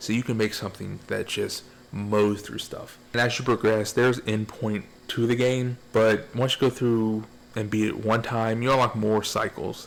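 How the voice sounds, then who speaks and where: Flat and monotone, a man talks at a medium pitch and a moderate pace. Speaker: gaming video reviewer. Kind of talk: casual video game review. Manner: rambling, repetitive.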